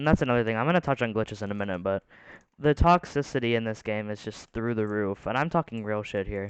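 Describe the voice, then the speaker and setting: A very fast male voice at medium pitch, with ordinary pitch variation and a dry, close sound with no echo, over a quiet background. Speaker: gaming commentator. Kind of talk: casual commentary monologue. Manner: rambling, halting with stutters.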